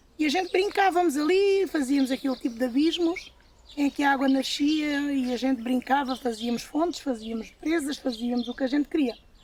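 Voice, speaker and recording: Noticeable background noise sits under a woman's high-pitched voice, which shows ordinary pitch variation. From Portugal, Alentejo (Évora). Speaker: farm worker. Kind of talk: testimony.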